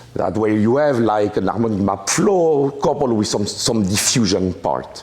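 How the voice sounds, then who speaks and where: Amid audible room echo and noticeable background noise, a man with a French accent speaks at a moderate pace with lively intonation. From France. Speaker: mathematics professor. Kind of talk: lecture. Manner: halting, many fillers and restarts.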